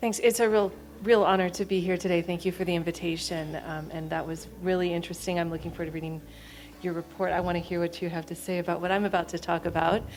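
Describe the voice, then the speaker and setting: A woman in an American accent, very fast pace, fairly low pitch and monotone, flat intonation, with music in the background. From United States. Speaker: architect and public health researcher. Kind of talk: conference presentation.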